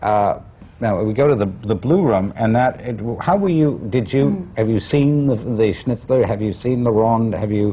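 A man uses an ordinary speaking voice at a medium pitch. His pace is moderate, with ordinary pitch variation. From Connecticut, US. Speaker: moderator. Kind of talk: panel moderating.

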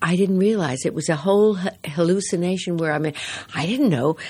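With an American accent, a woman speaks at a moderate pace in a fairly low, somewhat breathy voice with ordinary pitch variation. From North Carolina and New York. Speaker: stage actress. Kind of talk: interview. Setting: studio.

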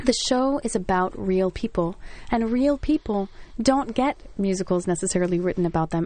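A woman with an American accent talks at a fairly quick pace with lively intonation, in a plain, everyday voice. The background is quiet. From New Jersey. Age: 20s. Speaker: Broadway actress. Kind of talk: interview.

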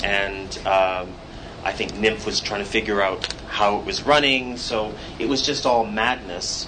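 A man's fairly low voice with ordinary pitch variation, a fairly slow pace, noticeable background noise and audible room echo. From Canada, Toronto. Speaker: theatre director. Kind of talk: panel discussion. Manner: halting.

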